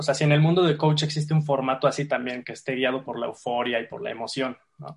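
The speaker's somewhat breathy voice moves at a fairly quick pace with ordinary pitch variation. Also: man. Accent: Mexican. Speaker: podcast host. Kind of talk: casual chat.

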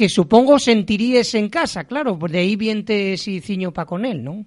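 In a quiet background, a man speaks at a moderate pace in a high pitch with ordinary pitch variation. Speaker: radio host. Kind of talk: radio interview.

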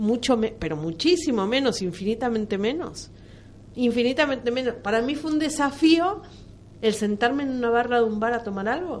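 Her intonation is lively, and her pitch is high. The woman speaks at a moderate pace. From Argentina. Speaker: radio panelist. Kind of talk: radio discussion.

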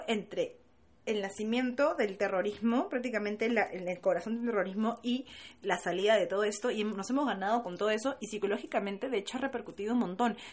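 With lively intonation and a fairly high pitch, the woman rattles along at a very fast pace. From Peru. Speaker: podcast co-host. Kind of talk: casual chat.

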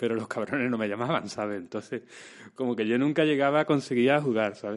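An ordinary speaking voice from a man, mid-pitched and with fairly level intonation. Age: 30s. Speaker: actor and screenwriter. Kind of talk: casual chat.

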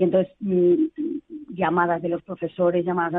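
This is a woman speaking. She talks at a fairly quick pace. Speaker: psychologist. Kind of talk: interview.

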